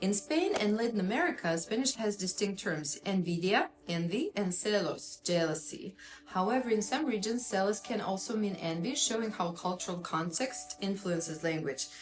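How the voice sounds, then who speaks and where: With a Russian accent, a woman of medium pitch speaks at a moderate pace with lively intonation, very even loudness and hardly any pauses, over noticeable background noise. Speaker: psychotherapist. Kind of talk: educational talk.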